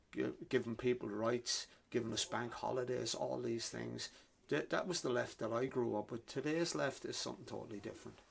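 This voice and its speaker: Speaking at a fairly quick pace, a man has a Wexford Irish accent. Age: 60s. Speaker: author. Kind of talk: interview. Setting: bookshop. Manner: halting, repeats words.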